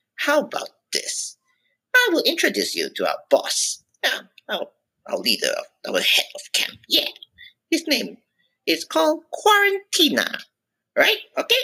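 An extremely high-pitched, put-on character voice speaks at a fairly slow pace, broken by long, frequent pauses. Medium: solo performance. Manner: breezy, cheeky, demanding.

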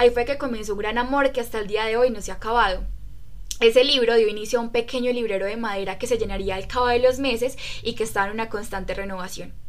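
A woman's fairly high-pitched voice at a very fast pace, with fairly even intonation. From Colombia, Riosucio, Caldas. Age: 20s. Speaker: book club podcast member. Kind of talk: casual chat.

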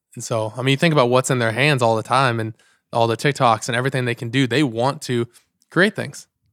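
A man speaks at a fairly quick pace and medium pitch. His intonation stays fairly even, and the sound is dry and close with no echo. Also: very clean recording, silent background. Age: 20s. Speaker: youth pastor. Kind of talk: casual chat.

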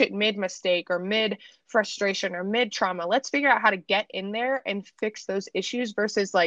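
At a moderate pace, a woman speaks at medium pitch with ordinary pitch variation and a fairly bright tone, in a dry, close sound with no echo.

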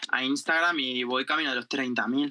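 A man with a normal speaking voice talks at a moderate pace, using ordinary pitch variation. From Spain, Murcia (Jumilla). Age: 20s. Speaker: journalist and TikToker. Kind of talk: casual chat.

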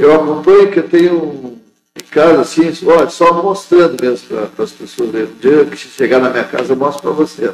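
A man's fairly high voice moves at moderate speed with lively intonation. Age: 60s. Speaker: union official and factory worker. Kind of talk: interview. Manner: halting.

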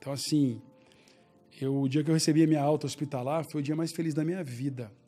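Music plays in the background as a man talks at a fairly quick pace. His intonation is monotone and flat. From Brazil, Belo Horizonte. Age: 40s. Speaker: entrepreneur. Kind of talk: casual interview.

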